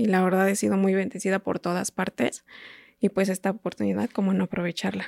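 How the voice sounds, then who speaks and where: In a very clean recording with a silent background and a dry, close sound with no echo, a woman with a central Mexican accent talks at a fairly quick pace at medium pitch, with fairly even intonation and vocal fry. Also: very even loudness. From Mexico, State of Mexico. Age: 30s. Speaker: patient with a rare disease. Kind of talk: testimony. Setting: studio.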